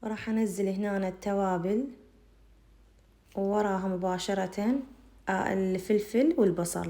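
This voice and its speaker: A woman speaks very slowly in a dark, mellow tone with fairly even intonation. She leaves long, frequent pauses. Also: medium pitch for a woman. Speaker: cooking channel host. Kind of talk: cooking tutorial.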